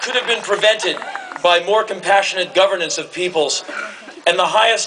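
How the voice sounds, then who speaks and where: Over noticeable background noise, a man with a high pitch speaks at a moderate pace with fairly even intonation. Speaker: commencement speaker. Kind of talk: commencement speech to a live audience. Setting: large hall with audience cheering and laughing.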